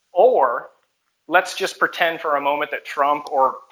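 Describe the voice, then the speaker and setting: Speaking at a moderate pace with a normal speaking voice, a man keeps a fairly high pitch with ordinary variation. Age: 20s. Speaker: caller. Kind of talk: call-in debate.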